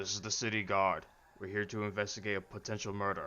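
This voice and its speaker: Putting on a gruff character voice, a man rattles off words at a very fast pace in a fairly low, flat monotone. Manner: authoritative.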